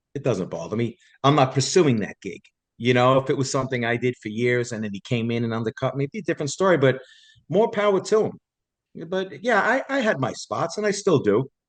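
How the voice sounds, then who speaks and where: A man with a New York accent talks at a fairly quick pace, his pitch swinging very widely. The sound is dry and close with no echo. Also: medium pitch for a man. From New York City, Staten Island. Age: 60s. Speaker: Elvis tribute artist, former bus driver. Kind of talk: casual interview chat.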